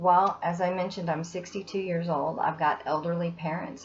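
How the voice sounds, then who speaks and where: A somewhat breathy woman with a fairly low pitch. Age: 60s. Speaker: student giving testimonial. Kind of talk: testimony.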